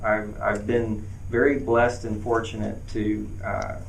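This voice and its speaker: A man with an American accent speaks at a fairly slow pace and a fairly low pitch. Audible room echo and noticeable background noise surround him. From US South, western North Carolina. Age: 40s. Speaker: mayoral candidate. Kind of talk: campaign Q&A at town hall. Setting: event with live audience. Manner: halting, many fillers.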